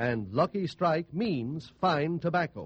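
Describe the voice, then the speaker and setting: A man with an unremarkable speaking voice, fairly high pitch and lively intonation is heard in a dry, close sound with no echo. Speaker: radio announcer. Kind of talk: commercial announcement. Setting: radio studio.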